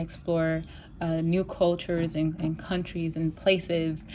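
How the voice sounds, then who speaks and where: A woman with a New York accent, fairly low-pitched, at a fairly slow pace. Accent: New York City English. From New York City. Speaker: language learning vlogger. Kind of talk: casual vlog talk. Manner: casual, many filler ums.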